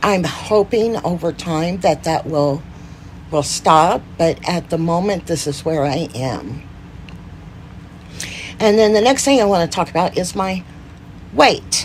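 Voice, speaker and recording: Over noticeable background noise, a woman with a fairly low pitch and lively intonation speaks at a fairly slow pace with long, frequent pauses. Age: 50s. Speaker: Parkinson's disease advocate. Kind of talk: casual talk to camera.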